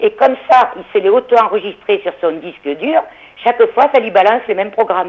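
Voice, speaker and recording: At a fairly quick pace, a woman speaks in a normal speaking voice. Her pitch is fairly high and her intonation is lively. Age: 60s. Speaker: caller. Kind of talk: phone-in call.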